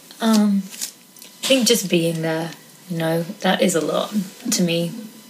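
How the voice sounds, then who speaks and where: A woman's fairly low voice with ordinary pitch variation, over noticeable background noise. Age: 30s. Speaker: guest. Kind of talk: casual chat.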